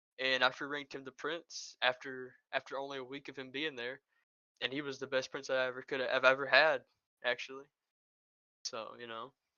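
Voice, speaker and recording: A man with a Southern accent and a medium pitch talks at a fairly quick pace in a monotone, flat intonation, broken by long, frequent pauses. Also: big swings in loudness. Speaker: former faction leader in an online game. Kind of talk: interview. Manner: halting, many repetitions and fillers.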